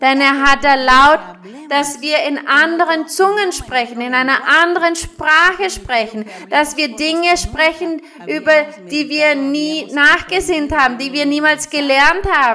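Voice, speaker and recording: A woman speaks at a fairly slow pace in a high pitch, using a raised, projected voice with ordinary pitch variation. Noticeable background noise can be heard. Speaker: preacher. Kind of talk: sermon. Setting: church with congregation. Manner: fervent, rhythmic preaching with blessing phrases; didactic, explaining scripture verse by verse.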